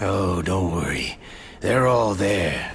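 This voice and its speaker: With clear background noise behind him, a man uses a raspy put-on character voice. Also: fairly low pitch for a man. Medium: machinima. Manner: terse, dry, gruff.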